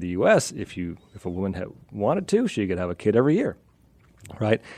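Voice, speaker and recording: A man with an American accent speaks at a fairly quick pace in a dark, mellow tone with fairly low pitch. His intonation is lively, and his loudness swings widely. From US, western Pennsylvania. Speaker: evolutionary anthropologist, professor. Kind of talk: radio interview.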